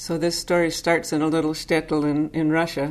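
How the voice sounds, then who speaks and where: A woman speaks with an American accent. Her pitch is very deep and low, and her intonation stays monotone and flat. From US Northeast, Boston suburb. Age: 60s. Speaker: Zen teacher. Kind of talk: Dharma talk, personal storytelling. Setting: Zen center.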